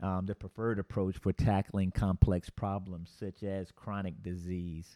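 A man speaks at a moderate pace in a dark, mellow tone. The recording is very clean, with a silent background and a dry, close sound that has no echo. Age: 40s. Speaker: podcast host, healthcare worker. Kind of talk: solo podcast monologue. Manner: frequent filler words.

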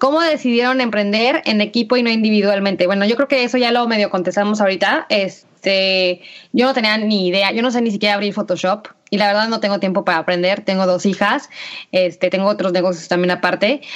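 The speaker is a woman talking at a very fast pace. Her loudness stays very even. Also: medium pitch for a woman, ordinary pitch variation. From Mexico, Aguascalientes. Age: 30s. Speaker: podcast co-host, entrepreneur. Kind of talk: casual chat.

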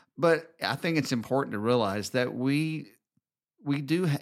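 In a Southern US accent, a man talks at a moderate pace with ordinary pitch variation, on a very clean recording with a silent background. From US South, Alabama. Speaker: podcast host, married couple show. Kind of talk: casual conversational podcast chat.

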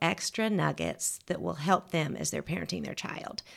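In a very clean recording with a silent background, a woman with a Southern US accent speaks at a moderate pace in a bright, sharp tone with vocal fry. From Georgia, US South. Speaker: etiquette teacher. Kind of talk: casual interview.

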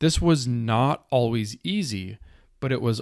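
A man's normal speaking voice with an American accent, medium in pitch with ordinary pitch variation, at a fairly slow pace, on a very clean recording with a silent background. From rural Minnesota, US. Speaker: podcast host, author and poet. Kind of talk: solo podcast monologue.

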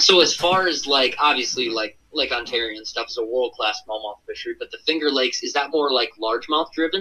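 A man speaks in a bright, sharp tone with a fairly high pitch and ordinary pitch variation. His pace is fairly quick, with hardly any pauses. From Minnesota, US Midwest. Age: young. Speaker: fishing YouTuber. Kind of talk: casual chat. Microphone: phone line.

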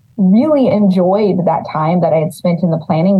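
A woman talks fairly quickly while noticeable background noise plays behind her. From California Central Valley, Los Banos. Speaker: city economic development director. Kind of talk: interview.

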